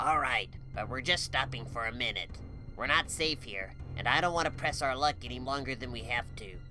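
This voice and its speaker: Over clear music in the background, a man puts on a character voice at medium pitch and a fairly quick pace. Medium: read story. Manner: serious, commanding.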